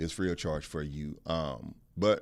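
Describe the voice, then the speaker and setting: Just a man, in a very clean recording against a silent background. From Texas. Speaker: podcast co-host. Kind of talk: casual chat.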